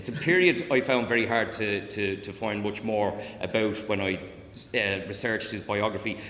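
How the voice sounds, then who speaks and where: Amid audible room echo and noticeable background noise, a man with a Dublin accent speaks at a moderate pace in a fairly low pitch with fairly even intonation. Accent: Dublin Irish. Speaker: historian and author. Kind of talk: public lecture. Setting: talk with live audience. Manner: frequent fillers and repetitions; occasional tics (mild Tourette's).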